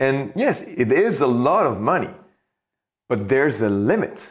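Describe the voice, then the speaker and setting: Amid audible room echo, a man with a French accent speaks at a fairly slow pace and medium pitch in an animated tone. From France. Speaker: podcast host and coach. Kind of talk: solo motivational monologue. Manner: halting.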